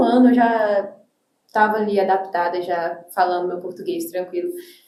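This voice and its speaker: A woman with an English accent speaks in a dark, mellow tone. Her pace is fairly slow, and room echo is audible. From Brazil (came from the US at age six). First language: English (speaking Portuguese). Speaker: teacher and church youth leader. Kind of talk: podcast interview.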